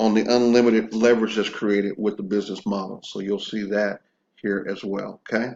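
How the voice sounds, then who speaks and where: Here is a man with a plain, everyday voice. His pitch is medium and his intonation fairly even. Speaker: online business marketer. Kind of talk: informal product walkthrough video. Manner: casual, conversational.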